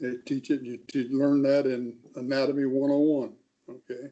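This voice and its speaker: A fairly high-pitched male voice of dark, mellow tone. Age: 70s. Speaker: author and researcher. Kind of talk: radio interview. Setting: radio show.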